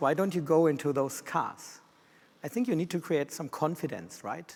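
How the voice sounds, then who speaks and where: Speaking at a fairly quick pace in a German accent, a man with a fairly high pitch shows ordinary pitch variation. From Germany. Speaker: systems engineer. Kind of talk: conference presentation. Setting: stage with audience. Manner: fast.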